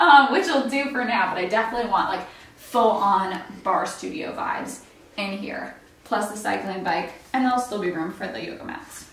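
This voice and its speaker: In a room with audible echo, a woman speaks at a moderate pace with lively intonation and big swings in loudness. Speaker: homeowner vlogger. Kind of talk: casual vlog chat. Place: home room. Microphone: camera far.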